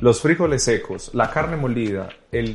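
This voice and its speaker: A somewhat breathy man at medium pitch, moderate pace and ordinary pitch variation. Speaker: TV presenter and journalist. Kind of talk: casual chat.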